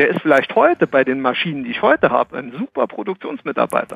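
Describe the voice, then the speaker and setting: A man with a normal speaking voice talks at a fairly high pitch and a fairly quick pace, with ordinary pitch variation. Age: 40s. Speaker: HR consultant. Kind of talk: casual chat.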